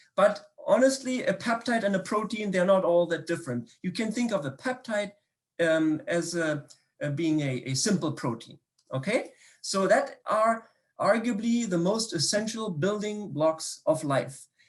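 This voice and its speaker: A man's high voice in a German accent, fairly slow, with lively intonation. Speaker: biochemistry professor. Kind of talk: public science talk. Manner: hesitant, many fillers and repetitions.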